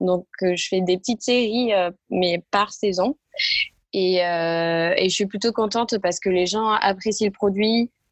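This woman's voice has a medium pitch and fairly even intonation. She speaks at a very slow pace. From southern France, Tarn (near Castres). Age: 20s. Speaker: entrepreneur, sock brand founder. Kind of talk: interview. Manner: halting, many hesitations.

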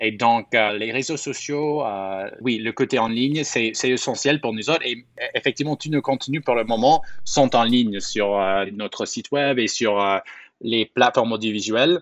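Here a man with a normal speaking voice and a medium pitch talks at a fairly slow pace, the sound dry and close with no echo. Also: ordinary pitch variation. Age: 20s. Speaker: media founder. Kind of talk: interview. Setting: outdoors in a park.

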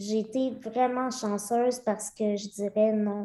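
A woman talks at a very slow pace in a fairly high pitch. Her dark, mellow tone carries fairly even intonation. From rural Centre-du-Québec, near Victoriaville. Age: 30s. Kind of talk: casual interview.

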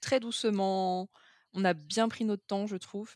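With medium pitch and fairly even intonation, a woman speaks in a dry, close sound with no echo. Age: 20s. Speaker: project manager sharing a breakup story. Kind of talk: testimony.

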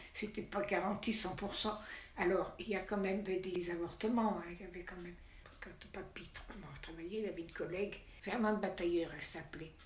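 A woman at a medium pitch and a moderate pace, monotone and flat, with long, frequent pauses, big swings in loudness, audible room echo and noticeable background noise. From Savoie, France. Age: 90s. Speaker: grandmother interviewed. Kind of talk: interview testimony. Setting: retirement home room.

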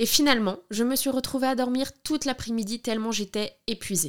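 An ordinary speaking voice from a woman, fairly high in pitch with ordinary pitch variation, at a fairly quick pace on a very clean recording with a silent background. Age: 30s. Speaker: podcast host, documentary maker. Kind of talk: scripted narration.

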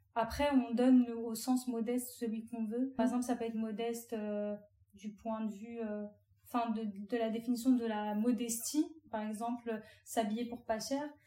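A woman's fairly high voice at a moderate pace, flat and monotone in intonation, over noticeable background noise. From France, Algerian family. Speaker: content creator. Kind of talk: casual interview.

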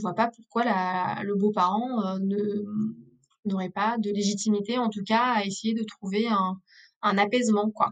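Very slow female speech, fairly even in intonation. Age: 30s. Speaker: former lawyer, legal advisor. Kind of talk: interview on family law. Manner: hesitant, many fillers.

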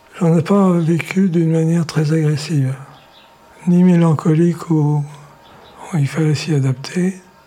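Against noticeable background noise, a man with a fairly high pitch speaks at a fairly slow pace, with long, frequent pauses, fairly even intonation and very even loudness. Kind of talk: interview. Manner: soft-spoken.

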